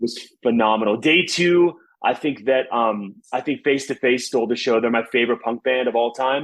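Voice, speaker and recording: An unremarkable speaking voice with an American accent moves at a moderate pace with ordinary pitch variation. The loudness stays very even. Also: man, medium pitch for a man. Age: 30s. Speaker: singer and music festival founder. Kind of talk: casual chat.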